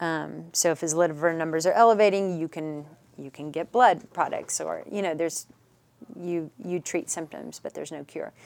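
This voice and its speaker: A woman with an American accent and an ordinary speaking voice, fairly low in pitch with ordinary pitch variation, a moderate pace and big swings in loudness. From Dallas, Texas (Richardson). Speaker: author sharing personal story of child loss. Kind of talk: interview, personal testimony.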